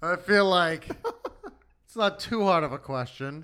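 Bright and sharp in tone, a man speaks with a high pitch and lively intonation. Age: 30s. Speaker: recurring podcast guest. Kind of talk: casual chat.

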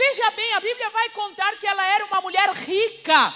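A woman uses a raised, projected voice at an extremely high pitch, bright and sharp in tone. She sounds animated while keeping a fairly slow pace. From Uruguay, Rivera. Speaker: preacher. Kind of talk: sermon.

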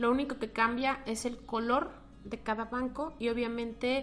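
A woman's normal speaking voice, fairly high in pitch, with fairly even intonation. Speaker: economist and finance lecturer. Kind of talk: interview.

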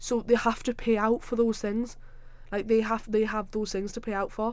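This woman speaks with a Sunderland accent at a medium pitch. The recording is very clean, with a silent background. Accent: Sunderland (Mackem) Northeast English. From South Shields, now Sunderland, Northeast England. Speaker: podcast host, university student.

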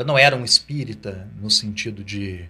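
Fairly low-pitched male voice with a bright, sharp tone and ordinary pitch variation, on a very clean recording with a silent background. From Ribeirão Preto, São Paulo state, Brazil. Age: 40s. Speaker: pastor. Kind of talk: interview testimony.

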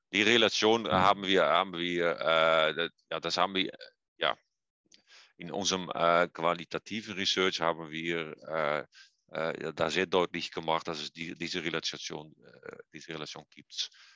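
In a Dutch accent, a man with a very deep, low pitch and a bright, sharp tone speaks at a fairly slow pace with long, frequent pauses and fairly even intonation, the sound dry and close with no echo. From eastern Netherlands. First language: Dutch (speaking German). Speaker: physiotherapy professor. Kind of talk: interview. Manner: halting, many hesitations.

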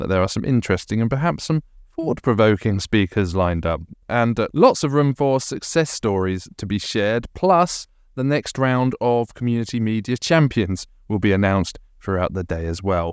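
The speaker has a British accent and very wide pitch swings, moving at a moderate pace. The recording is very clean, with a silent background. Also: man. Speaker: podcast host, community media association chair. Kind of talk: casual chat.

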